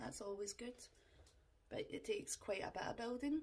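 This is a woman with a Scottish accent. Her voice sits at a fairly high pitch. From Scotland. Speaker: makeup vlogger. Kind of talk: tutorial. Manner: casual, chatty. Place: home room. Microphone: phone near.

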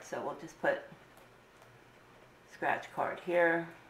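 A woman's voice, fairly low in pitch, carries audible room echo. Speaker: budgeting vlogger. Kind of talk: casual tutorial narration.

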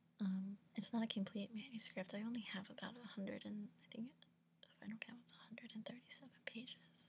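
A woman with an American accent speaks at a moderate pace in a fairly high, somewhat breathy voice with monotone, flat intonation. Light background noise is present. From United States. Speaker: ASMR whisper channel host, recent college graduate. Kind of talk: casual talk to camera. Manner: casual, relaxed, conversational. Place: home room. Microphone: webcam.

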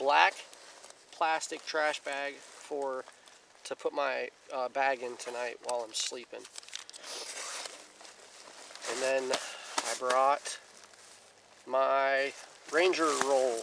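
There is noticeable background noise, but the sound is dry with no echo. A man talks at a very slow pace with fairly even intonation and long, frequent pauses. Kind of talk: casual vlog chat. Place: forest. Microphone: camera far.

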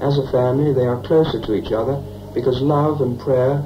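The speech moves at a fairly quick pace, with noticeable noise in the background. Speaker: film narrator. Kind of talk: documentary narration. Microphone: old recording.

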